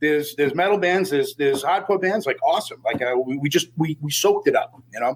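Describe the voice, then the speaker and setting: The speech is very fast with hardly any pauses. It carries a strong Boston accent. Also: man. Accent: Boston accent, still strong. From Boston, US. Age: 40s. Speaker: death metal vocalist. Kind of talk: casual interview.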